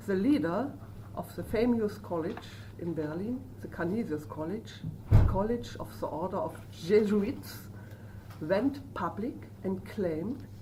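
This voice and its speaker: In a German accent, a woman speaks fairly slowly with a fairly low pitch. Noticeable background noise and audible room echo are present. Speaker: professor of social work. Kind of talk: lecture. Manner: halting.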